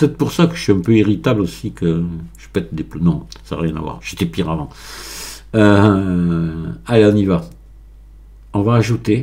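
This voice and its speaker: A man with a very deep, low pitch and a dark, mellow tone speaks at a moderate pace, somewhat breathy, with long, frequent pauses. His pitch swings very widely and his loudness shifts in big swings. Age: 60s. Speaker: Blender tutorial maker. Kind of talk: tutorial. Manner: halting, many hesitations.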